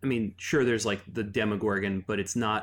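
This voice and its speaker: The recording is very clean with a silent background. A man with an unremarkable speaking voice talks at a fairly quick pace, his pitch fairly low and his intonation fairly even. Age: 30s. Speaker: game designer. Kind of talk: casual chat.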